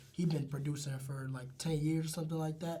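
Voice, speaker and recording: Very fast and somewhat breathy, a man's fairly high voice carries a dark, mellow tone amid audible room echo. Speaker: rapper. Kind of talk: casual interview chat. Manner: animated.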